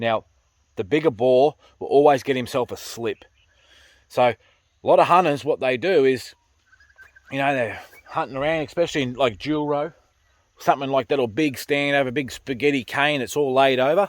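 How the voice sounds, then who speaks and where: Pausing long and often, a man with a strong Australian accent speaks at a moderate pace and a fairly high pitch with ordinary variation, in a dry, close sound with no echo. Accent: broad Australian. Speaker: pig hunter and farmer. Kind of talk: casual vlog commentary. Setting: in a car on a farm.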